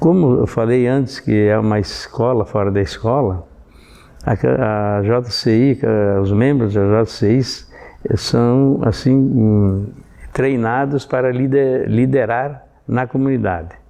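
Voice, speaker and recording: A very slow pace over noticeable background noise. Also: man, long, frequent pauses, very even loudness. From southern Brazil, Rio Grande do Sul (Sarandi). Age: 70s. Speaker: civic organization veteran member. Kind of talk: documentary testimony. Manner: halting, with many repetitions and fillers.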